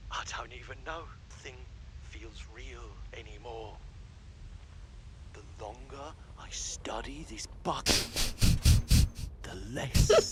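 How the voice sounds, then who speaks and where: A man speaks in a put-on character voice at a fairly slow pace. Long, frequent pauses break up his speech over loud background noise. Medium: game stream. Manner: rambling, obsessive.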